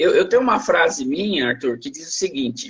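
A man talking at a moderate pace. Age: 60s. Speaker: law professor. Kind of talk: interview. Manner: halting, repeats words.

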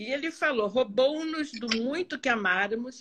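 High female voice with ordinary variation in pitch. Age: 70s. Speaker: psychoanalyst. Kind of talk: live stream conversation. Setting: online live stream.

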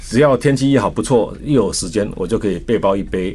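With a Taiwanese accent, a man talks at a fairly quick pace with lively intonation. His tone is dark and mellow. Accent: Taiwanese Mandarin. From Taiwan, Taichung. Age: 60s. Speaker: company chairman and former Olympic athlete. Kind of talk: radio interview.

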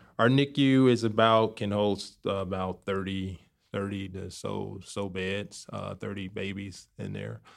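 A man with a fairly low pitch and an American accent, an ordinary speaking voice, big swings in loudness. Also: fairly slow pace. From Chicago, South Side. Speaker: neonatologist. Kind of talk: interview.

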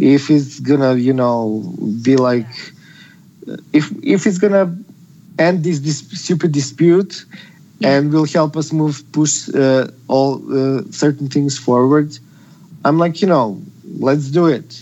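A man with a Serbian accent speaks very slowly at a fairly high pitch, with long, frequent pauses. His pitch variation is ordinary. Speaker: activist. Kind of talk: casual chat.

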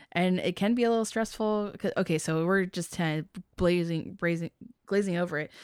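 A woman speaks at a fairly quick pace with an ordinary speaking voice. Her pitch sits in the medium range and her intonation stays fairly even. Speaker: pinball podcast host. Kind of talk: casual chat.

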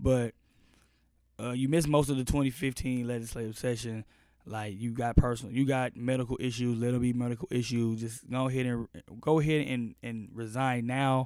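A man with an American accent speaks in an unremarkable speaking voice at medium pitch, moving at a moderate pace with fairly even intonation. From Austin, Texas. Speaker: podcast host. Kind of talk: news commentary monologue; casual interview chat. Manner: casual, filler-heavy.

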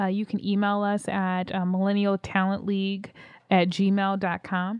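With an American accent, a woman speaks at a fairly slow pace against a quiet background. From Philadelphia. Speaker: podcast host and founder of career organization. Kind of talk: casual chat.

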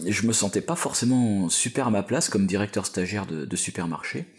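Here a man speaks with a very deep, low pitch. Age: 40s. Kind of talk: interview. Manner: halting.

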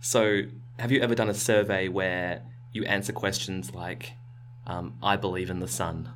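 A man talks at a moderate pace with ordinary pitch variation and vocal fry, and audible room echo surrounds him. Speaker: science podcast host. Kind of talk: casual chat. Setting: small recording space with carpeted walls.

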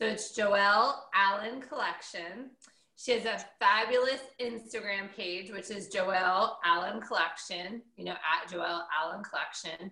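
In an unremarkable speaking voice, a woman talks at a medium pitch and a fairly slow pace, with ordinary pitch variation and big swings in loudness. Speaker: radio host. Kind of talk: casual chat.

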